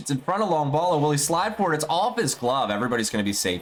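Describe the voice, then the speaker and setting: Speaking at a fairly quick pace, a man uses a fairly high pitch and lively intonation. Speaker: esports play-by-play commentator. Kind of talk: live commentary. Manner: fast.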